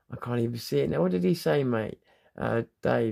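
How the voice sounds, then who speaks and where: A relaxed tone at a fairly quick pace, in a southern English accent. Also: man. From southern England. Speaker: livestreamer. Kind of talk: casual chat. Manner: relaxed, rambling with fillers.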